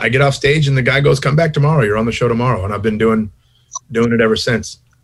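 A man talks in an American accent. The rise and fall of his pitch is ordinary. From Long Beach, California. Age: 50s. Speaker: stand-up comedian. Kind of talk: casual chat.

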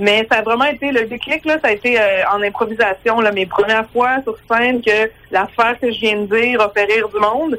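Speaking at a fairly slow pace, a woman uses a fairly high pitch and a bright, sharp tone. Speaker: stand-up comedian. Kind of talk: phone interview.

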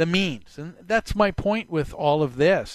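Over a quiet background, a man with a fairly high pitch speaks at a fairly slow pace with lively intonation, in a dry, close sound with no echo. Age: 60s. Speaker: talk radio host. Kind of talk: radio talk show monologue. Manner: halting, many filler sounds.

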